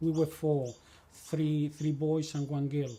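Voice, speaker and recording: A man with a Spanish accent speaks at a fairly slow pace and a fairly high pitch. His tone is dark and mellow, somewhat breathy. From Chile, El Monte near Santiago. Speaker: immigrant interviewee, former leather cutter. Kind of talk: life story interview. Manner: halting, repeating words.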